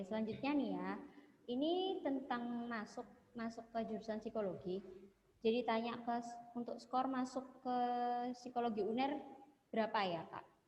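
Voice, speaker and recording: A woman talks at a moderate pace with a fairly high pitch and ordinary pitch variation. Noticeable background noise sits behind her. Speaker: webinar moderator. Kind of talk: webinar Q&A. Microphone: too quiet.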